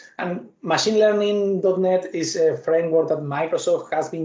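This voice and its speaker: A man speaks at a fairly quick pace with an Argentine accent. His voice is high, dark and mellow, with fairly even intonation. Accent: non-Canadian accent, from Argentina. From Argentina. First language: Spanish. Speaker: software developer and tech speaker. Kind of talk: technical talk with live demo. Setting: video call webinar with screen share.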